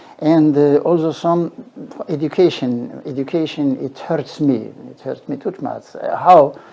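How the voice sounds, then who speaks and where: This man's voice has a dark, mellow tone and fairly high pitch, with ordinary pitch variation. He talks at a fairly slow pace. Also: big swings in loudness. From Morocco. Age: 70s. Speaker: retired professor. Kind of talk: interview. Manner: halting.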